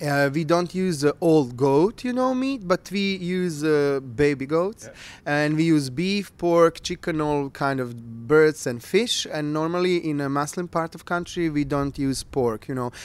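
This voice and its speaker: A Bosnian accent at a fairly slow pace, with ordinary pitch variation and a dry sound free of echo. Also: man, fairly high pitch for a man. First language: Bosnian/Croatian. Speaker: culinary expert. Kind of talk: interview. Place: home room. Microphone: handheld.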